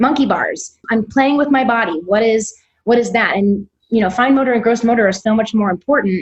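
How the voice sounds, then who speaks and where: Somewhat breathy, fairly high-pitched speech from a woman with an American accent and ordinary pitch variation. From US, Missouri. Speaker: self-directed education founder, former teacher. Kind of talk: podcast interview. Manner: fast.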